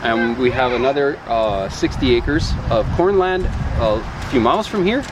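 A man with a medium pitch and lively intonation talks at a fairly slow pace and very even loudness, with audible room echo and noticeable background noise. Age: 40s. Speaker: farmer. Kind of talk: casual interview. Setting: outdoors on a farm.

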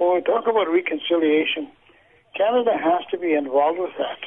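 Over noticeable background noise, a man with a high pitch talks at a fairly quick pace with ordinary pitch variation. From Canadian Prairies, First Nation from Manitoba. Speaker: residential school survivor and author. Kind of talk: interview testimony. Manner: halting with many repetitions.

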